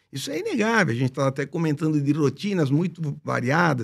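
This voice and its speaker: Over a quiet background, a man talks at a fairly quick pace in an ordinary speaking voice. His intonation is lively. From Brazil. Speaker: bariatric surgeon, professor; professor. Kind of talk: panel discussion. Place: studio. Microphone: studio mic.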